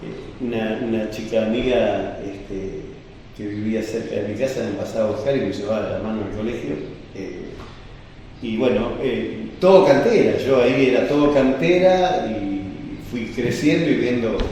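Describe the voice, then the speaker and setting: Over noticeable background noise and audible room echo, a man of medium pitch speaks at a fairly slow pace with lively intonation. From Argentina, Buenos Aires province coast (Chapadmalal). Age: 70s. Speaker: oral history interviewee, former quarry community resident. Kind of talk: oral history interview testimony. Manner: hesitant, many fillers.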